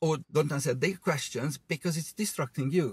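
A man's fairly high, somewhat breathy voice at a fairly quick pace, with ordinary pitch variation and a dry sound with no echo. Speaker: driving instructor. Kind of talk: casual chat. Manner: animated.

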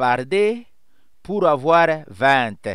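Against a quiet background, a man with a Swahili accent speaks very slowly at a high pitch with very wide pitch swings, the sound dry with no echo. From DR Congo. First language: Swahili (speaking French). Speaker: writer and pastor; poet explaining language. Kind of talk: educational monologue; lecture. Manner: hesitant with many fillers. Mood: warm, smiling, explanatory. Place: home room. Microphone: headset.

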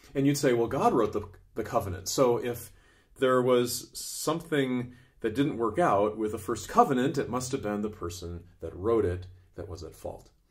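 A somewhat breathy man with big swings in loudness. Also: moderate pace, quiet background. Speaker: Bible teacher. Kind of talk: Bible teaching talk. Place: home room.

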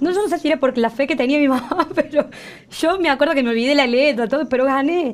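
Very fast delivery with very even loudness and ordinary pitch variation. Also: woman, high pitch for a woman. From Córdoba, Argentina. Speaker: singer and singing teacher; singing teacher. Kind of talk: TV interview. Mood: warm, emotional, smiling. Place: studio.

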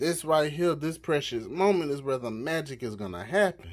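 At a fairly slow pace, a man delivers his words. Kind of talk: cooking tutorial. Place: kitchen. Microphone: phone near.

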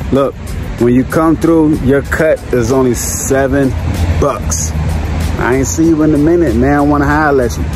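Very wide pitch swings mark this moderately paced voice, which sounds dry with no echo while music plays in the background. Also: man. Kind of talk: casual vlog chat. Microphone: phone near.

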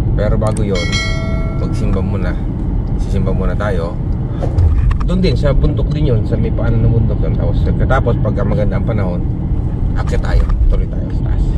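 A man talks at a fairly quick pace with ordinary pitch variation. Loud background noise runs behind him. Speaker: vlogger. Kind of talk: casual vlog chat. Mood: friendly, upbeat. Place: car. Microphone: phone near.

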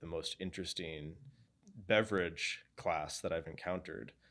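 With an American accent, a man speaks at a fairly slow pace in a very deep, low pitch, on a very clean recording with a silent background. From New England (Boston area). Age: 20s. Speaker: video interviewer and narrator. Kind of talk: scripted narration and interview.

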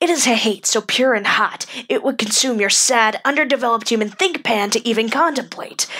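In a put-on character voice, a female-sounding speaker talks at a fairly quick pace with a fairly high pitch. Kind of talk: character monologue. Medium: dub. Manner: angry, contemptuous.

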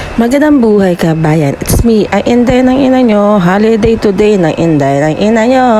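Delivered at a moderate pace with hardly any pauses, the speech has lively intonation and very even loudness against noticeable background noise. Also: woman, fairly high pitch for a woman. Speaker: vlogger. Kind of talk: casual vlog. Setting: walking around indoors.

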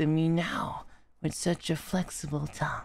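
A man's put-on character voice, high in pitch and fairly slow, on a very clean recording with a silent background. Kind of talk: soft romantic ASMR roleplay. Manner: tender, affectionate, wistful.

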